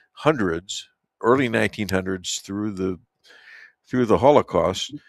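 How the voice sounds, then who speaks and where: Recorded very cleanly against a silent background, a man with a Chicago accent comes through with a dry, close sound and no echo. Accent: Chicago American. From Chicago, US Midwest. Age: 70s. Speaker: talk radio host. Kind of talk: radio interview. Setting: studio. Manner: halting.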